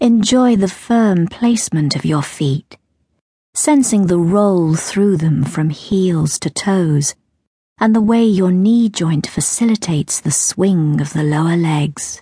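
A woman's very slow, somewhat breathy delivery in a dark, mellow, soothing tone, with lively intonation, very even loudness and a dry, close sound with no echo. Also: fairly low pitch for a woman. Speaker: audiobook narrator. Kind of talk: guided meditation.

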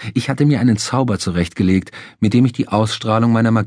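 Someone reads aloud in a natural voice, and the pitch rises and falls in an ordinary way.

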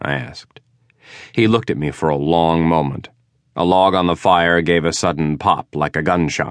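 A man with a very deep, low pitch speaks at a moderate pace with ordinary pitch variation over a quiet background. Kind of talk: audiobook narration, first-person hard-boiled detective fiction read aloud.

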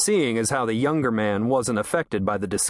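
Someone reads aloud in a natural voice.

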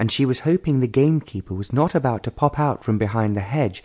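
This is plain reading aloud. The text is read out as written.

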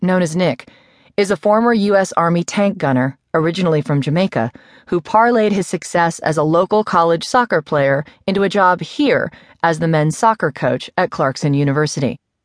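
A woman speaks in a plain, everyday voice at a moderate pace, fairly low in pitch with ordinary pitch variation and very even loudness. The sound is dry and close with no echo, and the background is quiet. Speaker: audiobook narrator. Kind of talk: audiobook reading of a newspaper article, scripted news narration. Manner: measured, even, formal news-reader pacing; somber, serious tone for a grim crime story.

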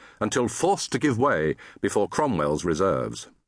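A man's voice with vocal fry and very wide pitch swings, at a moderate pace against a quiet background. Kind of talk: scripted audiobook narration of historical fiction. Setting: studio.

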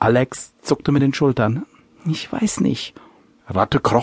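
Someone reads aloud plainly, the pitch moving in an ordinary way.

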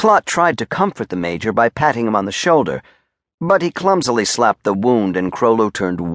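In a quiet setting, the words are read aloud in a natural voice.

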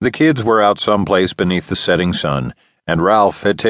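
Pitch varies in an ordinary way in an unforced reading voice. All around it is quiet.

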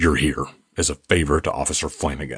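A man growls through a put-on character voice at a fairly quick pace. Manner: nervous.

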